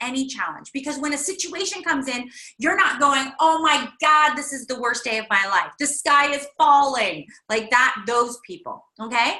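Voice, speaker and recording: A woman's raised, projected voice, high in pitch, with a bright, sharp tone and lively intonation. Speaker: workshop leader. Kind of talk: online workshop. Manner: loud.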